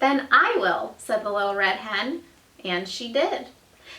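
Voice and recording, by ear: Someone is reading aloud in a natural voice, the pitch shifting by an ordinary amount.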